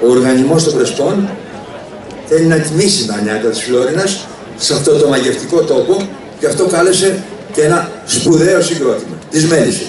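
A man speaks at a moderate pace with ordinary pitch variation. Audible room echo and noticeable background noise are present. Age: 70s. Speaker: festival founder and former politician; former politician. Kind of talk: public speech. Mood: warm, ceremonial. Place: stage.

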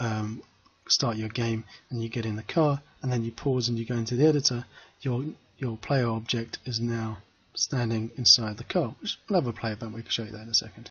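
With fairly even intonation, the somewhat breathy voice moves along at a fairly quick pace. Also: man. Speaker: game development tutor. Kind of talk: screen-recorded coding tutorial. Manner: casual, conversational.

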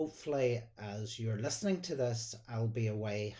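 Over a quiet background, a man's voice comes through dark and mellow in tone and somewhat breathy. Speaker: church minister. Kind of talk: sermon. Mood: warm, gentle, devotional. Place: home room. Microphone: phone near.

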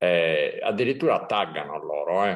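Fairly slow delivery from a man, quiet background. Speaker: surfcasting channel host. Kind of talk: casual chat. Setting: video call. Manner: halting. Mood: relaxed, chatty. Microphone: video call.

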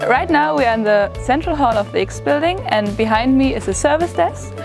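Clear music fills the background. Over it, a woman talks. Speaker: student tour guide. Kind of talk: guided tour presentation. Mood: friendly, upbeat. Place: hall.

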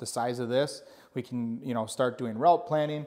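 A man's pitch shifts in an ordinary way. Behind him, the background is quiet. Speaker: channel host giving a tour. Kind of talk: casual vlog chat. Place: office.

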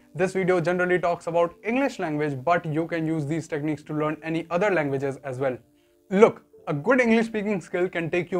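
With music playing in the background, a man speaks at a high pitch. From India. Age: young. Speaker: YouTuber sharing learning tips. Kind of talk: educational talk to camera. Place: home room. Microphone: lapel.

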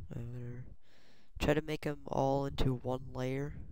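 Speaking quietly, the voice unfolds at a fairly slow pace. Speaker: software tutorial maker. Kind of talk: screen-recorded software tutorial. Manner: quiet, hard to hear.

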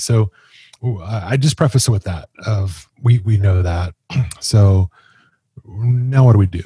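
A somewhat breathy, dark, mellow voice with ordinary pitch variation, dry sound with no echo, and a quiet background. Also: man. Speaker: podcast co-host. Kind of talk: podcast commentary. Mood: serious, sympathetic. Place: home room. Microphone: studio mic.

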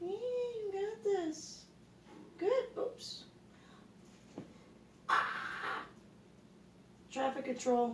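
A woman speaks very slowly at an extremely high pitch, swinging it very widely and leaving long, frequent pauses. Audible room echo and light background noise fill the recording. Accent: American. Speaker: pet rat owner. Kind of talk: casual talk to pet rats. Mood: encouraging, playful. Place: home room. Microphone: phone near.

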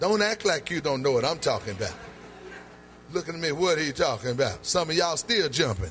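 Over faint music in the background, a man speaks at a very fast pace. He has an American accent and very wide pitch swings. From North Carolina, USA. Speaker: preacher. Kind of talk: sermon delivered to a congregation. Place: church. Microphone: handheld.

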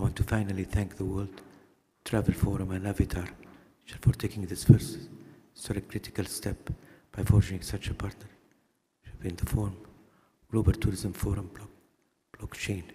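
A somewhat breathy man with a fairly low pitch and a dark, mellow tone, at a moderate pace, with fairly even intonation, big swings in loudness, and long, frequent pauses. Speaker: keynote speaker, former tourism official; keynote speaker. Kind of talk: keynote speech. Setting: conference stage with audience. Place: hall. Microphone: podium.

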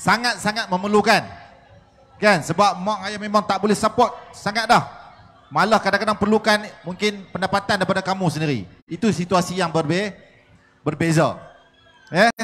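A man talks at a high pitch with ordinary pitch variation. His pace is moderate, broken by long, frequent pauses. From Malaysia. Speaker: lecturer; speaker. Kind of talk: panel discussion. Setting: stage with audience. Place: hall. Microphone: handheld.

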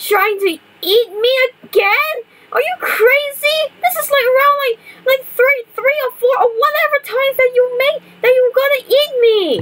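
A cartoonish character voice. The pitch is extremely high. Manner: agitated, flustered.

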